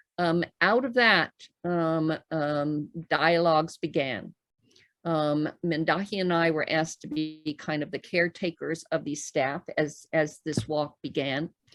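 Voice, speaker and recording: The speech comes at a fairly slow pace with ordinary pitch variation. The sound is dry and close with no echo, and music plays in the background. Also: woman, very deep, low pitch for a woman. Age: 70s. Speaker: spiritual elder. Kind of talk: interview talk. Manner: hesitant, many filler sounds.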